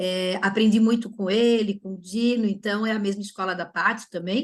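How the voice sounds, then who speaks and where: A somewhat breathy, fairly high female voice at a moderate pace, with ordinary pitch variation. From Florianópolis, southern Brazil. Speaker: orthodontist. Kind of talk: webinar presentation. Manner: animated.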